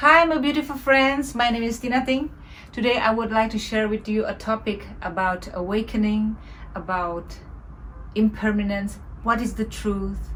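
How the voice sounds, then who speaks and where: A woman talks with ordinary pitch variation at a fairly high pitch, keeping a moderate pace. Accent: non-native. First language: not English. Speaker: meditation teacher. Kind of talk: spiritual talk. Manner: halting.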